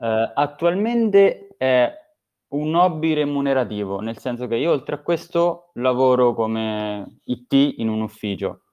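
A man at a very slow pace with lively intonation. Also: medium pitch for a man. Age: 20s. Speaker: app developer. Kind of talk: casual chat. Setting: live online recording.

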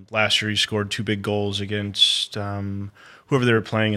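With an American accent, a man talks at a fairly quick pace in a fairly low pitch, his tone bright and sharp and his intonation monotone and flat. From Flint, Michigan. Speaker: sports marketing director. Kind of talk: casual chat. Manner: halting, many ums.

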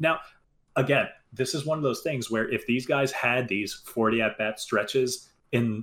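With an American accent, a man speaks at a fairly slow pace and medium pitch in an unremarkable speaking voice. The recording is very clean and the background silent. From New Jersey. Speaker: baseball podcast co-host. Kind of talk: casual chat.

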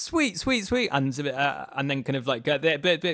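In a British accent, a man speaks at a fairly quick pace with a fairly high pitch, vocal fry and lively intonation. The recording is very clean, with a silent background. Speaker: composer. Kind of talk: casual interview chat. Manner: hesitant, repeats words.

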